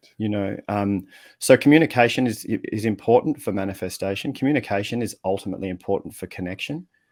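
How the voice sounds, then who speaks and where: Over a very clean recording and silent background, a man with a fairly low pitch talks at a very fast pace with ordinary pitch variation. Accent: Australian. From Australia. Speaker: communication coach and writer. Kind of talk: podcast interview answer. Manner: relaxed, casual.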